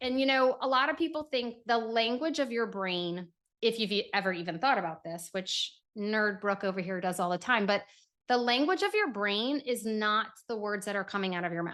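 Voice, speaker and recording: Against a quiet background, a woman with a New York accent speaks at a moderate pace in an animated tone, her fairly high voice full of lively intonation. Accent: sounds like a New Yorker. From New Orleans. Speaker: neuroscience and sensory regulation expert. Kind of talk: casual podcast interview.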